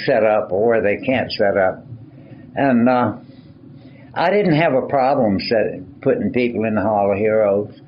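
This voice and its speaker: A man at medium pitch, with audible room echo and noticeable background noise. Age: 80s+. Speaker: retired Pentagon staffer. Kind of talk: interview. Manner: halting.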